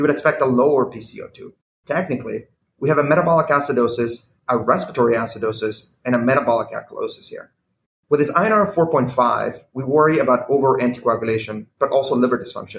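A man with a fairly high pitch talks at a very fast pace, his somewhat breathy voice showing ordinary pitch variation. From Venezuela. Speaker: cardiology fellow. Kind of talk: medical case presentation.

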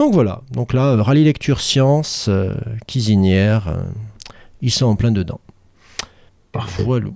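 A man with a dark, mellow tone speaks at a fairly slow pace with ordinary pitch variation. He leaves long, frequent pauses. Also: medium pitch for a man. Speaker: teacher and podcast co-host. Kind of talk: casual chat.

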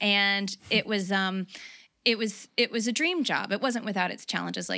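A woman speaks with an American accent at a medium pitch. Her tone is bright and sharp. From US South. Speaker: runner. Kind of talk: casual chat. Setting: video call.

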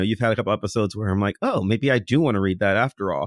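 In a very clean recording with a silent background and a dry, close sound with no echo, a man has an ordinary speaking voice at medium pitch with ordinary pitch variation. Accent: American. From US Midwest, near Cleveland, Ohio. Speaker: podcaster and comic fan. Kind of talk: casual chat.

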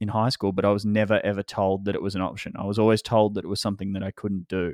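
Monotone, flat intonation in an Australian accent, over a quiet background. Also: man. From Australia, Melbourne. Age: 20s. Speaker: photographer and filmmaker. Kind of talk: interview. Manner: halting, many fillers and repeats.

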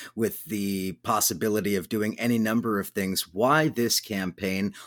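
A man with an American accent talks at a moderate pace in an unremarkable speaking voice, fairly low in pitch with fairly even intonation, on a very clean recording with a silent background. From Southern California. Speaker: radio host. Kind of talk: radio interview.

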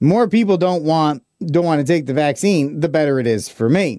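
With a normal speaking voice, a man talks at a fairly high pitch with lively intonation. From Texas. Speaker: radio host.

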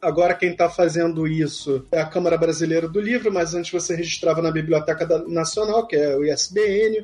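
A man with a Rio de Janeiro accent speaks at a moderate pace, with hardly any pauses. His pitch is high, and his intonation is fairly even. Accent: carioca. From Rio de Janeiro, Brazil. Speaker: book editor and podcaster. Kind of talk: casual interview.

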